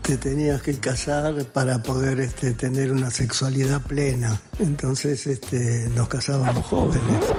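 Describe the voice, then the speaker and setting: Against music in the background, a man with a medium pitch speaks at a fairly slow pace, with fairly even intonation, very even loudness, and hardly any pauses. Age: 80s+. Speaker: interviewee. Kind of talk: testimony.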